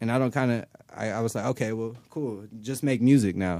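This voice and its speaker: In an American accent, a man with an unremarkable speaking voice talks at a fairly quick pace with ordinary pitch variation. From Los Angeles, mid-city. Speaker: rapper. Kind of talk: casual interview. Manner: laid-back.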